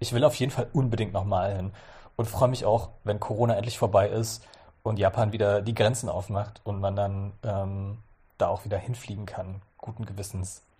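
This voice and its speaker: A man's somewhat breathy voice has a fairly low pitch, a dark, mellow tone, and fairly even intonation. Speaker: journalist. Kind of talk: casual interview.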